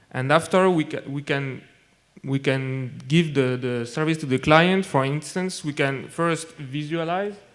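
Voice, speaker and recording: A man speaks with a French accent. His pitch is fairly high, with ordinary variation. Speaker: data scientist. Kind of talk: conference talk. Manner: halting, many fillers and repetitions.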